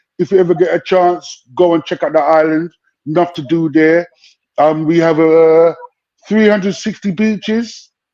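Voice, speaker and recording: A man speaks at a high pitch with a dark, mellow tone. He keeps a moderate pace and fairly even intonation. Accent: London. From London, Brent (northwest London). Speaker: UK hip hop rapper. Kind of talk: casual interview chat. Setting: live stream.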